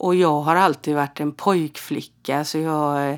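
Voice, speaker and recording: Very deep and low in pitch, a woman speaks with fairly even intonation on a very clean recording with a silent background. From Sweden, Halland (Frillesås). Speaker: podcast host and medium. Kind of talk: casual storytelling monologue.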